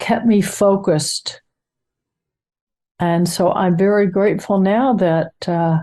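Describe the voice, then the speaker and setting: A woman at a medium pitch with a dark, mellow tone, very slow pace, long, frequent pauses, fairly even intonation and very even loudness, against a quiet background. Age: 80s+. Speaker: course participant. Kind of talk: interview answer.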